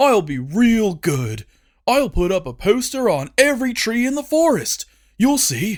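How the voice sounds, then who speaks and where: A man's put-on character voice, high-pitched with very wide pitch swings, at a moderate pace on a very clean recording with a silent background. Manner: falsely compliant, eager to please.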